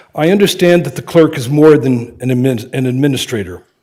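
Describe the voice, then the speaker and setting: A man with an American accent talks fairly quickly. His voice is fairly high in pitch, with a dark, mellow tone. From Pennsylvania. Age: 70s. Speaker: candidate for township clerk. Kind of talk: prepared public statement at a meeting. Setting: township board meeting. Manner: formal.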